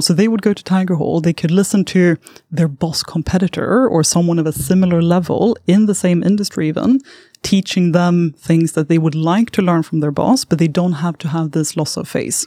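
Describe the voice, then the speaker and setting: A woman with a Swedish accent, fairly low in pitch, at a fairly quick pace with ordinary pitch variation, in a dry, close sound with no echo. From southern Sweden. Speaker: startup founder. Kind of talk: interview. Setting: studio.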